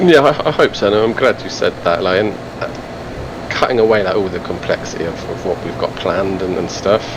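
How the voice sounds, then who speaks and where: Over noticeable background noise, a man with an English accent speaks at a fairly quick pace with lively intonation. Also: fairly low pitch for a man. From England. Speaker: carp angler and apparel brand founder. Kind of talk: podcast interview.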